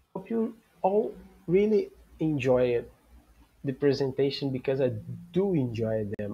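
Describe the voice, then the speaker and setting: Here a man speaks with a dark, mellow tone. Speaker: football podcast host. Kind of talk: solo livestream talk. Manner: halting, with many fillers and restarts.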